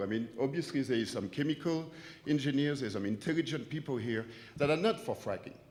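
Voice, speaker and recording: A man talks at a very fast pace in a French accent. His pitch is fairly high, and his intonation is lively. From France. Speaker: business owner speaking at public comment. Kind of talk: public comment at town hall. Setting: auditorium meeting.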